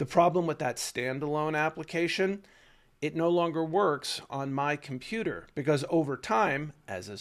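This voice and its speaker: A man's fairly high voice, an unremarkable speaking voice, at a fairly slow pace with lively intonation. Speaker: tech educator and video host. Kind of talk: casual explainer monologue. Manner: conversational, with fillers.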